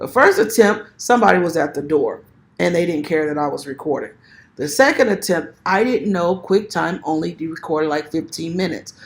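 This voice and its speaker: A woman with a fairly low pitch, fairly quick pace and lively intonation, in a very clean recording with a silent background. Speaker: self-published author and video creator. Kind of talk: tutorial. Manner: fast; casual, conversational.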